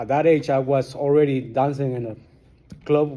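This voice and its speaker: With a strong Guatemalan accent, a man speaks in a dark, mellow tone at a fairly high pitch, with fairly even intonation and audible room echo. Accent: thick Guatemalan Spanish. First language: Spanish. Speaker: recovering alcoholic. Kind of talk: testimony. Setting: support group meeting.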